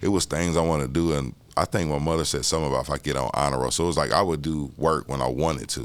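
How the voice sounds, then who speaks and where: With a very deep, low pitch and vocal fry, a man rushes along at a very fast pace with hardly any pauses and fairly even intonation. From Indianapolis, Indiana. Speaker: artist. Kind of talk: interview. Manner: casual, conversational.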